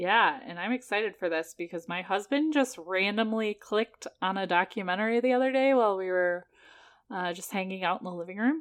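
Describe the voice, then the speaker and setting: A woman talks at a fairly quick pace. Her medium pitch has ordinary variation. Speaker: podcast co-host. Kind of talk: casual chat. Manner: laughs often, animated.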